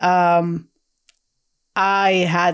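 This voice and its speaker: This woman has a Russian accent and a fairly low pitch, recorded very cleanly against a silent background. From Soviet Union, then Israel from teens. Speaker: historian and author. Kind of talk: interview.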